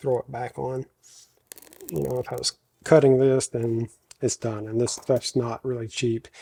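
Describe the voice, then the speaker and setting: At a moderate pace, a man speaks at a medium pitch with a dark, mellow tone and a dry, close sound with no echo. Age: 40s. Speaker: woodworking and firearms YouTuber. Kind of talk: tutorial. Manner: casual, talks to himself while working. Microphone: echo from talking into a box.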